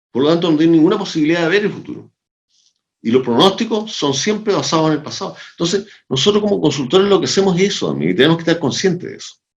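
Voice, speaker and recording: Talking at a very fast pace in a Chilean accent, a man uses a high pitch with ordinary pitch variation. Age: 70s. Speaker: sociologist and organizational consultant. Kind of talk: interview conversation. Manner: animated.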